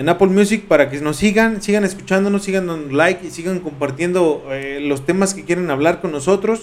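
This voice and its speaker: A man with a high pitch talks at a fairly quick pace with hardly any pauses, his pitch varying in an ordinary way. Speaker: podcast co-host. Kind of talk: casual chat.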